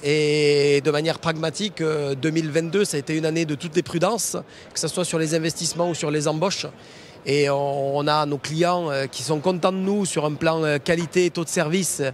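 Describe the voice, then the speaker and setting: A man with a Toulouse accent speaks at a moderate pace. His pitch is fairly high and his intonation fairly even. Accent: southern French (Toulouse). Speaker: foundry managing director. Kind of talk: interview on trade show floor. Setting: trade show floor.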